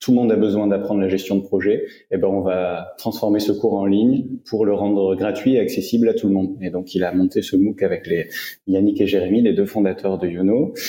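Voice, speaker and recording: Fairly even in intonation, this man's voice sits at a fairly low pitch. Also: fairly quick pace. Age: 30s. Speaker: HR director and digital learning expert. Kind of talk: interview. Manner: hesitant with fillers.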